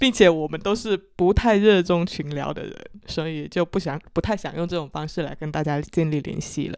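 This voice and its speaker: A woman speaks in a Chaoshan accent with a fairly low pitch and ordinary pitch variation. Her pace is moderate against a quiet background. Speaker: podcast host, marketing professional. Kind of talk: casual chat.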